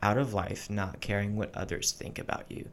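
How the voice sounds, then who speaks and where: Moving at a fairly quick pace, a man uses an unremarkable speaking voice pitched fairly low. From military family, high school in Texas. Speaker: Air Force member. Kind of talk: casual chat.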